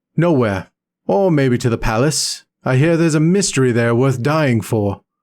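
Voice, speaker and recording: A man speaks in a put-on character voice at a medium pitch and a moderate pace, his intonation lively and his loudness very even, on a very clean recording with a silent background. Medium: read story. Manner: laconic, weary.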